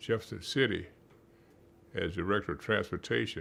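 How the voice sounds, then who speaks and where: Bright and sharp in tone, the voice has vocal fry and a fairly slow pace. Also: man. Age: 80s+. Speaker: retired psychology professor. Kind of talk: interview. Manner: halting.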